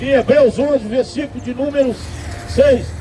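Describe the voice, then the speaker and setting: Music plays in the background. The speech is fairly slow, with monotone, flat intonation. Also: man. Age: 60s. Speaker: street preacher. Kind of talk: sermon.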